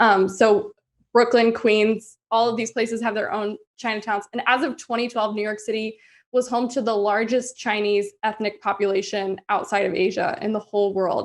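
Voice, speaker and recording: A woman with an American accent speaks at a moderate pace in a plain, everyday voice. Her fairly high pitch holds fairly even intonation over a quiet background. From US South. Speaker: podcast co-host. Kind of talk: casual chat; scripted narration.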